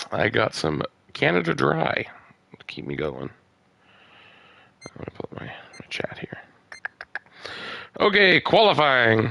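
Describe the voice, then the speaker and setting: A man whispering at a fairly slow pace, with long, frequent pauses. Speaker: racing league live-stream commentator. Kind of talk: live commentary. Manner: casual, hesitant with fillers.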